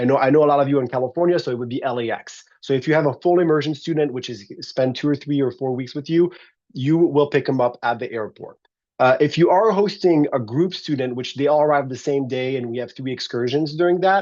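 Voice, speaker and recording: A man talks at a very fast pace. His voice is fairly high, with ordinary pitch variation. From France. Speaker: exchange program coordinator. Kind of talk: orientation presentation. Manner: casual, halting.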